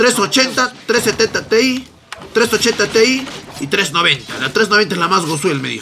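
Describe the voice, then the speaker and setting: Over light background noise, a man with a Peruvian accent uses a raised, projected voice, high in pitch, with lively intonation and an animated tone. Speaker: gaming streamer. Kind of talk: casual chat. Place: home room.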